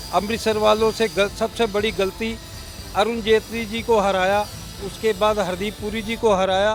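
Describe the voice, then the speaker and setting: Music plays in the background as a man speaks. His pitch is high and his intonation monotone and flat. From Amritsar, Punjab. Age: 70s. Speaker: shopkeeper. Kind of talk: street interview.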